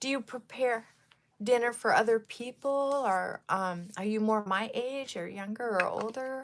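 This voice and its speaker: Speech at a very slow pace carries lively intonation. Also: woman. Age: 60s. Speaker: lifestyle vlogger. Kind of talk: casual livestream chat with viewers. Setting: live stream on camera. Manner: chatty, with frequent fillers.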